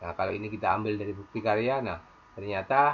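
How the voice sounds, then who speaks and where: This man has a normal speaking voice, fairly low in pitch, with ordinary pitch variation. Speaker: teacher tutorial maker. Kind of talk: screen tutorial.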